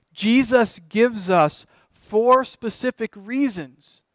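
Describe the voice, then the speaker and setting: The pace is very slow, with ordinary pitch variation. The sound is dry with no echo against a quiet background. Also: man, extremely high pitch for a man. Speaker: pastor. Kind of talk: sermon. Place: church.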